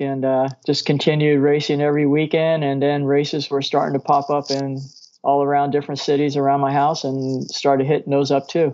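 A man with an American accent, fairly high pitch and monotone, flat intonation, at a fairly quick pace with hardly any pauses. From Southern California (Norwalk, Los Angeles area). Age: 50s. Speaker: professional mountain bike racer. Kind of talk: interview. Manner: halting.

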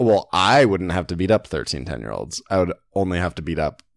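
A man with a very deep, low pitch and vocal fry speaks at a moderate pace with lively intonation in a dry, close sound with no echo. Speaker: podcast co-host. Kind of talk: casual chat.

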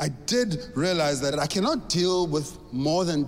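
High-pitched male speech against noticeable background noise. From South Africa. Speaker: stand-up comedian. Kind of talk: stand-up.

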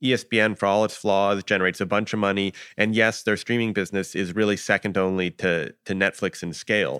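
Fairly quick in pace, a man with a plain, everyday voice is heard in a dry, close sound with no echo. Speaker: media reporter. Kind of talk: casual interview chat.

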